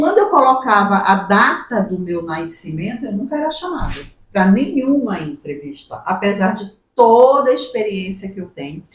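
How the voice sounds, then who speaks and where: The woman's loudness swings a lot, and her pitch swings very widely around a medium level. She speaks at a moderate pace. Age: 60s. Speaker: human resources professional. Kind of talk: podcast interview.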